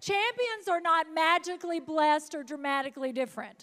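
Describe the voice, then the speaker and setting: With an animated tone and lively intonation, a woman speaks at a moderate pace. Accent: Southern. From US South, North Mississippi. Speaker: motivational speaker. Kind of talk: motivational speech. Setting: stage with audience.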